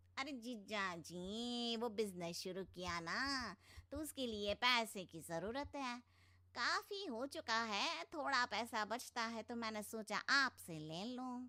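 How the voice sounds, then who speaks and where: Using a put-on character voice, a woman speaks at a fairly high pitch and a fairly slow pace with lively intonation. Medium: read story.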